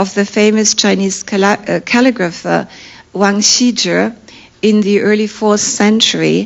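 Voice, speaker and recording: A woman with a medium pitch and fairly even intonation talks over noticeable background noise. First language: not English. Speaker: art historian professor. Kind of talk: academic lecture. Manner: formal.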